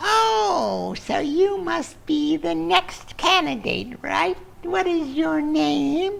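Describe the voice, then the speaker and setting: Over light background noise, a put-on character voice speaks at a very slow pace. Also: man, extremely high pitch for a man. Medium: read story. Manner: falsely sweet, coaxing, keeps saying my dear.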